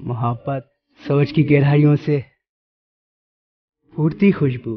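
A man's fairly high, somewhat breathy voice comes through with a dry sound and no echo. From Pakistan. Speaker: radio jockey and voice-over artist. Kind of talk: poetry reading on a radio show. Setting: radio studio broadcast. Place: studio.

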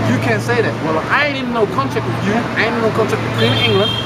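Over loud background noise, a man talks. His pace is very fast. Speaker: street commentator. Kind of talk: casual monologue. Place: street. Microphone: phone near.

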